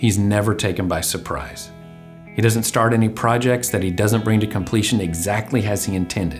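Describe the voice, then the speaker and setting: Music in the background behind a man's fairly low voice, fairly quick in pace and fairly even in intonation. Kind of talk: religious commentary monologue.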